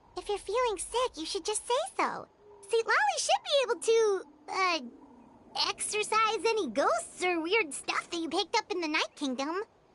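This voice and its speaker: Done as a put-on character voice, the speech is pitched extremely high and moves at a moderate pace. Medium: video game. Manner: excitable, chatty.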